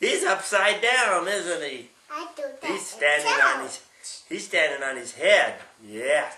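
Over noticeable background noise, a man talks at a fairly slow pace in a sing-song, animated, playful tone, his loudness swinging widely. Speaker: great-grandfather reading to a child. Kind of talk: bedtime story reading aloud to a small child, with sound effects. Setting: at home, one-on-one with a small child. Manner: sing-song, asks the child questions, acts out animal sounds. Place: home room. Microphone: camera far.

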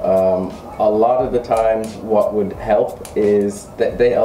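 A man speaks with a New York accent. There is light background noise and audible room echo. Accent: New York American English. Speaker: English teacher. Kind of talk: casual interview. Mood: relaxed, friendly. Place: classroom.

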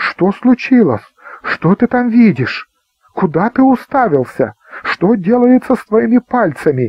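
In a put-on character voice with a slightly husky edge, the speaker goes at a fairly slow pace with big pitch swings, recorded with a dry, close sound and no echo. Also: man, high pitch for a man.

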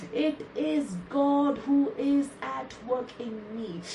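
Amid noticeable background noise, a woman speaks in an intense tone with ordinary pitch variation. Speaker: preacher. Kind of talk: fervent declaratory prayer, repeated scripture affirmations with speaking in tongues. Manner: intense, rhythmic repetition of declarations.

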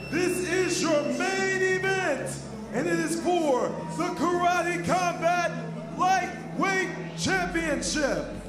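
A man speaking at a very slow pace, with clear music in the background. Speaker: ring announcer. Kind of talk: combat sports ring announcing. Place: stage. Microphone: handheld.

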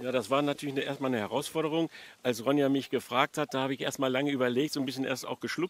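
The sound is dry and free of echo. A man talks with intonation that stays fairly even. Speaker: interviewee. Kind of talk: interview answer. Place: garden. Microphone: handheld.

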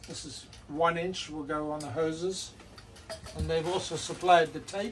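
Noticeable background noise sits behind a man's voice. He speaks at a fairly slow pace with fairly even intonation. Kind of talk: casual vlog chat. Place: boat. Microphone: camera far.

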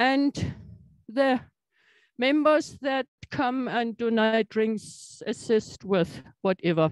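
A woman's voice, dry with no echo, against a quiet background. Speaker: scientific society chair. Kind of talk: formal welcome speech. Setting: stage with audience. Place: hall. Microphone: handheld.

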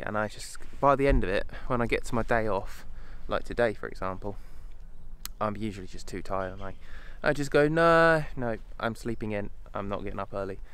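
Here a man speaks at a moderate pace. The sound is dry, with no echo. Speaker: wildlife photography vlogger. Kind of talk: casual vlog chat. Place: open country. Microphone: phone near.

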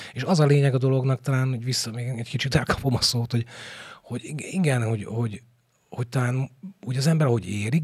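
A man talks at a fairly quick pace in a somewhat breathy voice. Behind him, the background is quiet. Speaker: stage actor. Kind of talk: interview. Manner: halting. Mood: thoughtful, animated. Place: studio. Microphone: studio mic.

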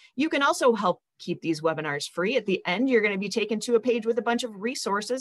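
In an American accent, a voice moves at a fairly quick pace with very wide pitch swings against a quiet background. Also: woman. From US Midwest. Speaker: nonprofit webinar host. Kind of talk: webinar hosting. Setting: video call. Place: home room. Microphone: video call.

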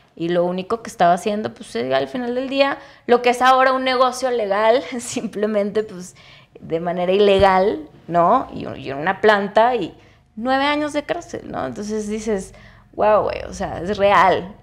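Over a quiet background, a woman speaks at a fairly slow pace with lively intonation and big swings in loudness. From Mexico, Chihuahua. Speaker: cannabis entrepreneur and activist; podcast guest. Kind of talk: interview conversation. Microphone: lapel.

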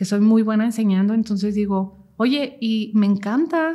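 A woman talks at a fairly slow pace with a somewhat breathy voice, on a very clean recording with a silent background. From Mexico, Jalisco (Cocula). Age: 30s. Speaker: mental health content creator. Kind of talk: personal testimony interview.

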